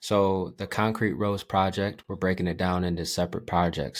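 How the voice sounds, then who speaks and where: A man with a very deep, low voice talks at a moderate pace, his intonation fairly even. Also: very clean recording, silent background. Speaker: social media relationship advice creator. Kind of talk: podcast interview. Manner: laid back.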